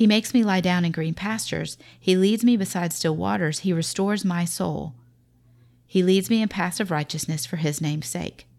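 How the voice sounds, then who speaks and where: A woman with a Southern US accent speaks at a fairly quick pace. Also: very clean recording, silent background. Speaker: podcast host, mother. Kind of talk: faith-based parenting talk.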